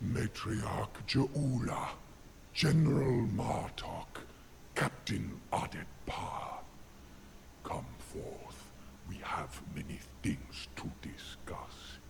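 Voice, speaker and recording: A man's growling, put-on character voice, very slow with long, frequent pauses, over light background noise. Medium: video game. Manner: calm, cryptic.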